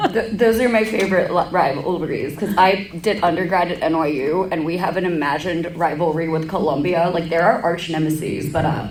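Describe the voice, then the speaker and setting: Amid noticeable background noise and audible room echo, a woman with a fairly low voice talks at a fairly quick pace with hardly any pauses. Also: ordinary pitch variation. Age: 20s. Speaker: cosplayer, webcast co-host. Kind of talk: live convention panel discussion. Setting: convention panel room with audience, masks worn.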